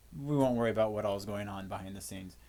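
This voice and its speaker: A man's very fast delivery in a fairly low pitch, with ordinary pitch variation. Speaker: physics teacher. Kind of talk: lecture. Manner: casual, with fillers.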